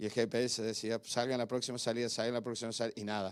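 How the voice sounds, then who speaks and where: A man talks in a medium pitch. Nothing is heard behind him in this very clean recording. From Argentina. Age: 60s. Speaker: pastor. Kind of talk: sermon. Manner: animated.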